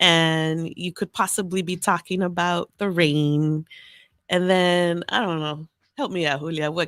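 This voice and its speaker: Speaking with an American accent, a woman has an unremarkable speaking voice, fairly low in pitch, with fairly even intonation at a fairly slow pace. The recording is very clean with a silent background and a dry, close sound with no echo. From Los Angeles, Salvadoran family. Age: 40s. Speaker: podcast guest. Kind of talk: casual chat.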